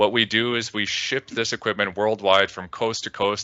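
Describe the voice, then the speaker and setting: A man with a Canadian accent talks at a fairly quick pace in a plain, everyday voice, his fairly low pitch held to fairly even intonation. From Canada. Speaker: data visualization consultant. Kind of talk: conference presentation.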